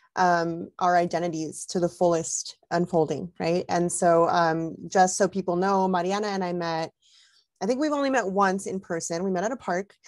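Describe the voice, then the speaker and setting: With an unremarkable speaking voice, a woman talks at a fairly low pitch and a moderate pace, her pitch varying in an ordinary way over a quiet background. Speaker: parenting organization host. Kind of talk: video call interview. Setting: video call.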